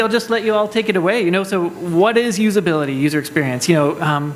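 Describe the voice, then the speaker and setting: A loud, high male voice at a very fast pace, with noticeable background noise and audible room echo. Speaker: panel moderator. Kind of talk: conference panel moderation.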